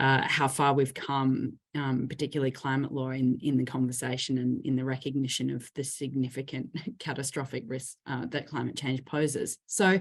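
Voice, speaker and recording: A woman with an Australian accent speaks at a moderate pace in a very deep, low voice, with fairly even intonation and hardly any pauses. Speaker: lawyer, panellist. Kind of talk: panel talk. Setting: online panel.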